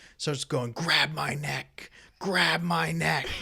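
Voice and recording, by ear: Putting on a menacing character voice, a man speaks at a fairly slow pace and medium pitch with very wide pitch swings.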